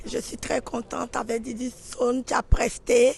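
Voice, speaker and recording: Fairly high in pitch, a woman is talking. Her pace is very slow. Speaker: show promoter. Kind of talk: interview.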